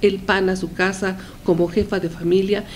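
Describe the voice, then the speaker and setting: The voice belongs to a woman. Light background noise is present. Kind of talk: opinion commentary to camera. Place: office. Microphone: handheld.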